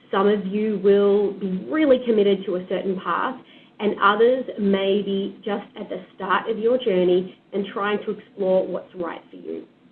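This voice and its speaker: With an Australian accent, a woman talks at a fairly slow pace. Her intonation is fairly even, while her loudness shows big swings. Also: medium pitch for a woman. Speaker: HR program leader. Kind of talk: presentation.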